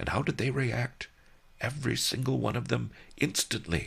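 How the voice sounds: With lively rises and falls in pitch, the reading voice sounds natural.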